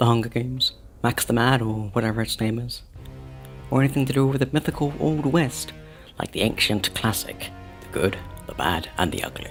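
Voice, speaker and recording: Over music in the background, a man with a medium-pitched voice talks fairly quickly with lively intonation and long, frequent pauses. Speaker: video game lore narrator. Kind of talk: in-character documentary narration. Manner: formal, explanatory.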